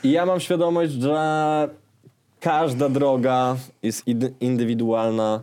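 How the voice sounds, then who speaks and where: At a very slow pace and with long, frequent pauses, a man talks in a medium pitch with ordinary pitch variation and a dark, mellow tone. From Warsaw, Poland (Żoliborz). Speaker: rapper and sound engineer. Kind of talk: casual interview chat. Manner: hesitant, many filler sounds.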